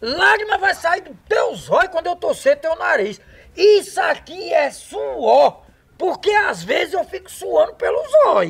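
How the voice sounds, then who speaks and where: A man puts on a character voice at an extremely high pitch. He delivers it at a fairly slow pace. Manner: gruff, threatening, defensive.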